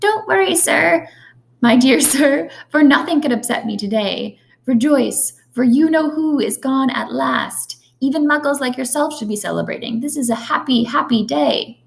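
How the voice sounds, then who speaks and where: A female-sounding put-on character voice, squeaky and high-pitched, moves along at a moderate pace. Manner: joyful.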